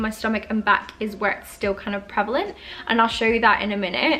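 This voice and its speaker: Music plays behind a woman who speaks with an Australian accent at a fairly high pitch. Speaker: beauty YouTuber. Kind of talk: casual talk to camera. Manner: hesitant, some stuttering.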